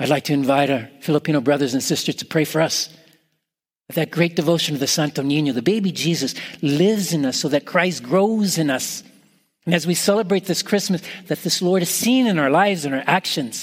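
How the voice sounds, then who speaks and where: The speaker is a man with an ordinary speaking voice, fairly high in pitch. His pace is fairly quick, and his pitch variation is ordinary. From Canada. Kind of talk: Christmas homily.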